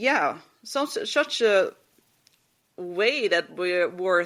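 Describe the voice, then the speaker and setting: A woman speaks with a Dutch accent. The recording is very clean, with a silent background. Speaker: podcast host. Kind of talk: casual monologue. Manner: halting, many fillers.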